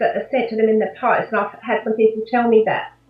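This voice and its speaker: A woman speaks with an Australian accent. Noticeable background noise is present. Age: 60s. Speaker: life coach. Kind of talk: interview.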